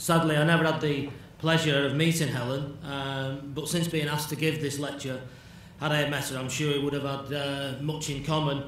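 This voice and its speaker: With a Manchester accent, a man speaks at a fairly high pitch in monotone, flat intonation, with audible room echo and noticeable background noise. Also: moderate pace. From northern England, Bury near Manchester. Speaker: addiction specialist lecturer. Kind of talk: lecture.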